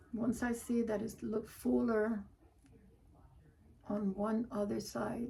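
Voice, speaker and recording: A woman with a fairly high pitch speaks very slowly in a flat monotone, with long, frequent pauses and noticeable background noise. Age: 60s. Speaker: wreath maker, crafting vlogger. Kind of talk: casual crafting livestream chat. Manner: conversational, self-talking.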